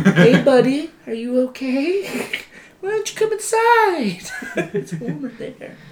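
In a put-on character voice, a female-sounding speaker talks fairly slowly at a high pitch. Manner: soft, gentle, caring.

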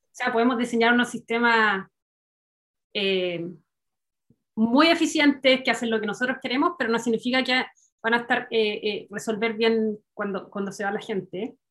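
A woman at a fairly high pitch with ordinary variation, a moderate pace, long and frequent pauses, and big swings in loudness. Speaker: engineer, doctoral student. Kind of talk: casual chat.

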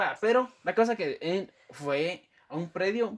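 In a Guatemalan accent, a man speaks very slowly at a high pitch with very wide pitch swings. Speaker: podcast co-host. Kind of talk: casual chat.

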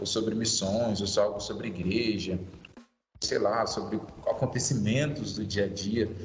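A man talks at a fairly low pitch and a fairly slow pace. His intonation is fairly even, and the room echo is audible. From Brazil, Vitória, Espírito Santo. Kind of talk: casual interview.

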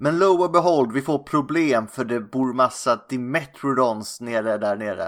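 A man in a Scanian accent speaks fairly slowly at a medium pitch with ordinary pitch variation. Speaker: film podcast host. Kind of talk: casual chat.

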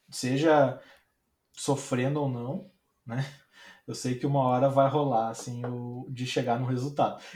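Speaking in a somewhat breathy monotone with flat intonation, a man moves at a fairly slow pace with long, frequent pauses, and audible room echo surrounds him. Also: medium pitch for a man. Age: 20s. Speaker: designer. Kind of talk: casual chat. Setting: live stream. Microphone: audio too quiet.

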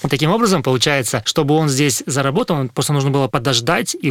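The sound is dry and close with no echo as a man rattles along at a very fast pace. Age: 30s. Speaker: food delivery company executive. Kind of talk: interview. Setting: studio.

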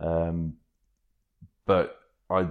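Very deep, low male pitch in a British accent, over a quiet background. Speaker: kitesurfing magazine editor and waterman, cancer patient. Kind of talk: casual interview chat.

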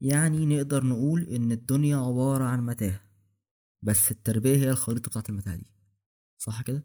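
A man speaks fairly quickly at a medium pitch with ordinary pitch variation. It is a plain, everyday voice. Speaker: podcast host. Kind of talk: casual chat.

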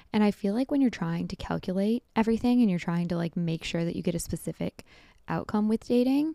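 A woman with a dark, mellow tone and medium pitch talks at a very fast pace with lively intonation. The recording is very clean with a silent background, and the sound is dry and close with no echo. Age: 20s. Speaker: podcast host. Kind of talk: casual solo monologue. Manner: fast, chatty.

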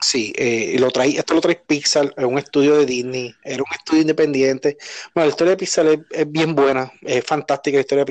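With a normal speaking voice, a man talks at a fairly high pitch and a fairly quick pace. His intonation is fairly even, and he leaves hardly any pauses. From Puerto Rico. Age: 30s. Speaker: podcast host. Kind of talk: casual chat.

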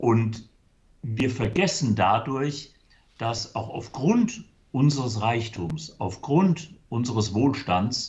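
Somewhat breathy speech at a very slow pace. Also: man. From Germany, Limburg (Hesse). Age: 60s. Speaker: church charity worker. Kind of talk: interview. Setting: video call.

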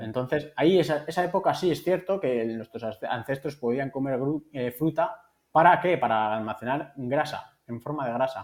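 The speaker has a normal speaking voice with lively intonation. The pace is moderate, with hardly any pauses. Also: man, fairly high pitch for a man. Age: 40s. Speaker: nutritionist. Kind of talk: interview.

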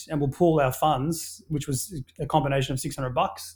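Recorded very cleanly against a silent background, a man with an Australian accent speaks at a moderate pace in a fairly high, somewhat breathy voice with fairly even intonation. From Papua New Guinea and Australia. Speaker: brand founder and entrepreneur. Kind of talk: casual interview conversation. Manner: hesitant, with many filler words.

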